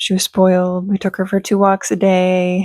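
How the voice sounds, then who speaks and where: A soft-spoken woman talks at a moderate pace with a medium pitch. The sound is dry and close with no echo, and the recording is very clean over a silent background. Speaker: beauty and fragrance YouTuber. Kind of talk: casual vlog chat. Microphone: talking close into microphone.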